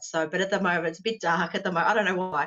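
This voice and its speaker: The speaker talks with an Australian accent. The pitch varies in an ordinary way. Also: woman. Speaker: author. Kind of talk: casual interview.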